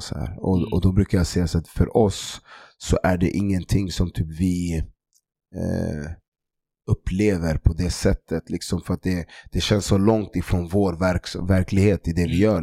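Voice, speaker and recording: A man speaks at a moderate pace with a very deep, low pitch, a dark, mellow tone and fairly even intonation. The sound is dry and close with no echo, in a very clean recording with a silent background. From Stockholm, Sweden (Tensta). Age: 30s. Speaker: sports club founder.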